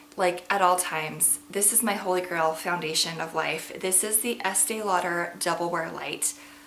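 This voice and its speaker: There is audible room echo and noticeable background noise as a woman speaks at a fairly slow pace, her medium pitch showing ordinary variation. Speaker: beauty vlogger. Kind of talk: casual product review to camera. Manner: chatty, filler-heavy.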